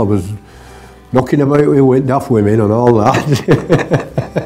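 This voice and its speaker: Music plays in the background as a man speaks with a Lancashire accent. His pitch is medium and his intonation lively. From northern England, Wigan, Lancashire. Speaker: retired trade unionist, interviewee. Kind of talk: oral history interview. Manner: halting, with repetitions.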